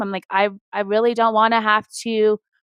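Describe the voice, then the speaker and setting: A woman speaks at a fairly quick pace with a fairly high pitch. The sound is dry and close, with no echo. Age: 40s. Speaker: interior design firm owner. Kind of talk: interview. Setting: live web show. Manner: fast.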